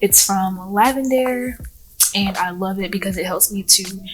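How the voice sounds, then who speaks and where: Amid noticeable background noise, a woman speaks at a fairly slow pace and a medium pitch with ordinary pitch variation. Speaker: lifestyle vlogger and entrepreneur. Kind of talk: casual vlog talk. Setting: library.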